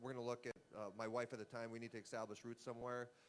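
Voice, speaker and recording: Man at a medium pitch, very fast pace. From Canada. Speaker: retired baseball player. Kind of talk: casual interview. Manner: halting.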